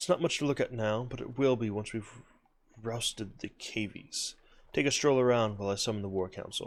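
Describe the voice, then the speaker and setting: A man uses a gruff, put-on character voice at a medium pitch and a fairly quick pace. The recording is very clean, with a silent background. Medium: game stream. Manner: gruff, grim.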